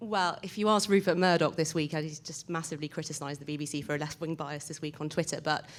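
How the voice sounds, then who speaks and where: Talking very fast with hardly any pauses, a woman with a British accent and a very deep, low voice keeps fairly even intonation on a very clean recording with a silent background. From Britain. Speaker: audience member asking a question. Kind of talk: audience question at a panel.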